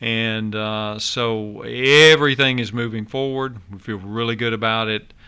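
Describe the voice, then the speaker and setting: A man with a Tennessee accent speaks at a medium pitch in a bright, sharp tone. His pace is fairly slow and his intonation fairly even. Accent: Southern US (Tennessee). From Nashville, Tennessee. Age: 60s. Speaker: county mayor. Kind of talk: radio interview.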